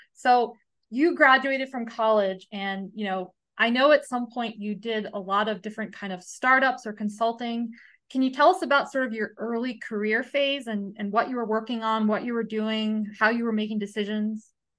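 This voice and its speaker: With an American accent, an unremarkable speaking voice moves at a moderate pace with fairly even intonation over a quiet background. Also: woman, fairly high pitch for a woman. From United States. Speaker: podcast host. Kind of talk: casual interview.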